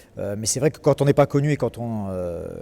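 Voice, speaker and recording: A man speaks at a very fast pace in a dark, mellow tone with ordinary pitch variation. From southern France, Marseille. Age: 30s. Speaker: comedian. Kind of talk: interview. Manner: hesitant, many fillers.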